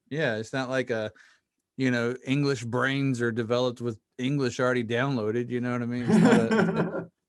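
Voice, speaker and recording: This man speaks with a Southern US accent at medium pitch and a moderate pace. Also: ordinary pitch variation. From US South (Mississippi). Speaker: podcast host. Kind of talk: casual interview chat.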